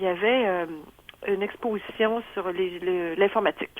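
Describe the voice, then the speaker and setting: A woman talks in a Quebec accent. Her intonation is fairly even. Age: 70s. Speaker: retiree. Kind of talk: testimony. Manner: halting, many fillers.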